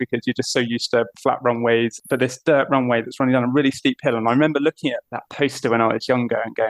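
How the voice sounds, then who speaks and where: A man with a British accent speaks at a medium pitch in a monotone, flat intonation. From southern England. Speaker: aviation mission operations manager. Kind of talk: podcast interview.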